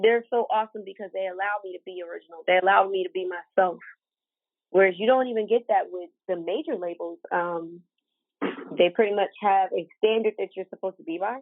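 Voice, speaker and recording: A woman with an American accent has an unremarkable speaking voice at medium pitch. She talks at a fairly quick pace with ordinary pitch variation. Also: big swings in loudness. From US, Ohio. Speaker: R&B and pop singer. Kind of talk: interview answer. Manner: casual, conversational.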